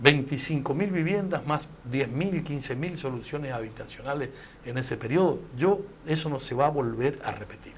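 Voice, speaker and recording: Over audible room echo, a man speaks at a moderate pace with ordinary pitch variation. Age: 70s. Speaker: former provincial official. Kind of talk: political talk show interview.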